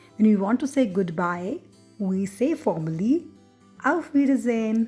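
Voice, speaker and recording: A woman with a German accent and a fairly high pitch, music in the background. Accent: non-native German pronunciation. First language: not German. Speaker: German language teacher. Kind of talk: language lesson narration.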